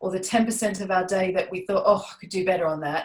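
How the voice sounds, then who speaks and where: A woman's somewhat breathy voice at a medium pitch. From Australia. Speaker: parenting coach. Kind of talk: webinar talk. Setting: webinar.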